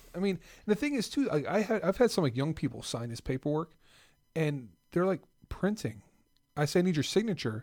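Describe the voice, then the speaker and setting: In an American accent, a man speaks at a high pitch with very wide pitch swings. His pace is fairly quick despite long, frequent pauses, and the recording is very clean with a silent background. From South Jersey / Philadelphia area. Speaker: podcast co-host. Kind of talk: casual chat.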